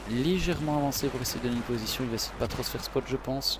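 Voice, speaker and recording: A man speaks at a very fast pace, his pitch varying in an ordinary way, while noticeable background noise continues. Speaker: esports commentator. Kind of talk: live commentary. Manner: animated.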